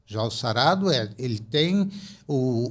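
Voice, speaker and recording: A somewhat breathy man's voice at a very slow pace with lively intonation. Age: 70s. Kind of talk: podcast interview, personal testimony. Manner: animated storytelling with repetitions.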